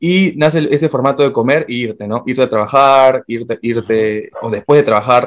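Medium in pitch with ordinary pitch variation, a man speaks at a moderate pace with hardly any pauses in a plain, everyday voice. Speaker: podcast co-host. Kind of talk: casual chat.

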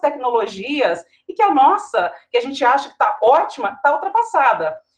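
Talking at a moderate pace, a woman uses a high pitch. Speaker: TV news anchor. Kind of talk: panel discussion.

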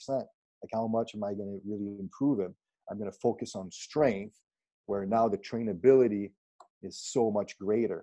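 A man speaks at a moderate pace and a fairly low pitch, in a dark, mellow tone with fairly even intonation, long, frequent pauses and big swings in loudness. The sound is dry and close, with no echo. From Quebec, Canada (Granby / Saint-Césaire area). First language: French. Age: 40s. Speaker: strength and conditioning coach. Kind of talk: casual interview conversation. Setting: Skype video call.

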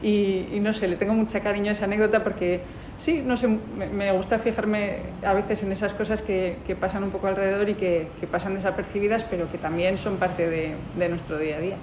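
A woman's medium-pitched voice at a fairly quick pace with fairly even intonation, amid noticeable background noise and audible room echo. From Bilbao, Basque Country, Spain. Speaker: lawyer. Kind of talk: casual storytelling. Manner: halting, many repeated words.

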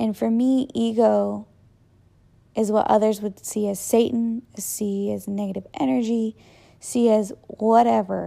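With an American accent, a woman speaks at a fairly high pitch and a fairly slow pace, in a dark, mellow tone with ordinary pitch variation, on a very clean recording with a silent background. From Texas, Austin. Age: 20s. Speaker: podcast host. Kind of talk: personal monologue. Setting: home living room.

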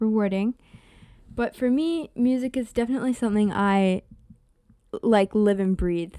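The voice has a dark, mellow tone and ordinary pitch variation at a moderate pace, with a dry, close sound and no echo. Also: woman. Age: 18. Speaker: music student. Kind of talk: casual chat.

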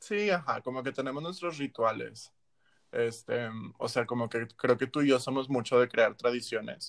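A man talks at a moderate pace with fairly even intonation. It is a normal speaking voice. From Monterrey, northern Mexico. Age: 20s. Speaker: medical student, podcast co-host. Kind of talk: casual chat.

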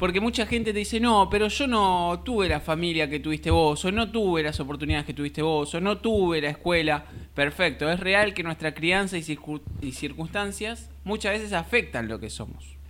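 A man's high-pitched voice moves at a moderate pace with lively intonation. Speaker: podcast host. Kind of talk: casual discussion.

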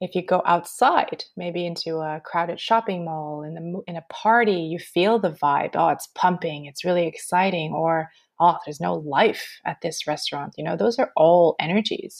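Against a quiet background, a woman with a normal speaking voice and fairly low pitch talks at a moderate pace with hardly any pauses, ordinary pitch variation and big swings in loudness. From Canada, Montreal. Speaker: energy healer. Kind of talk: interview; guided meditation.

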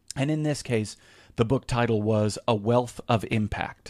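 In a very clean recording with a silent background, a man speaks at a medium pitch with ordinary pitch variation in an unremarkable speaking voice. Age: 40s. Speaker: lawyer and conference host. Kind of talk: interview conversation.

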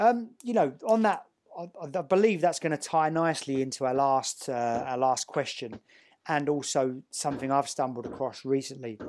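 A man uses a normal speaking voice, fairly high in pitch with lively intonation, at a moderate pace. The recording is very clean with a silent background. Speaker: podcast host. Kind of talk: scripted intro then casual interview.

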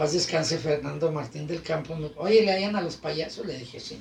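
A man speaks at a fairly high pitch, with noticeable background noise and audible room echo. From Guadalajara, Mexico. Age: 40s. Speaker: clown and radio presenter. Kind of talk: casual chat. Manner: animated.

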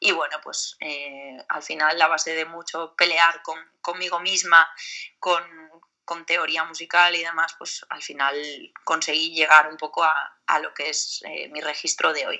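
At a fairly slow pace and fairly low pitch, a woman speaks in a flat monotone while her loudness swings widely. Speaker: metal singer. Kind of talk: interview.

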